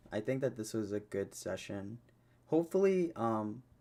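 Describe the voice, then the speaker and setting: Lively in intonation, a man speaks at a medium pitch. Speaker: podcast host and streamer. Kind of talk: solo podcast monologue. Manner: slow; halting, many fillers.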